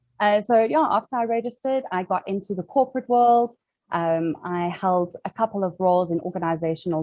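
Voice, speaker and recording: A woman with a South African accent speaks at a moderate pace, her medium pitch showing ordinary pitch variation. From South Africa, Cape Town. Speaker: organizational psychologist. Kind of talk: webinar interview.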